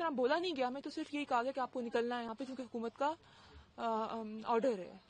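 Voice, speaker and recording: A woman's voice amid noticeable background noise. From Pakistan-administered Kashmir, Muzaffarabad. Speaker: deportee. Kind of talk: street interview.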